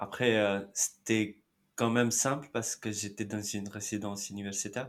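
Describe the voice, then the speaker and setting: A man at a fairly low pitch with monotone, flat intonation at a moderate pace, in a very clean recording with a silent background. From India, Mumbai. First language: Marathi (speaking French). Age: 30s. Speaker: immigrant interviewee. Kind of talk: interview.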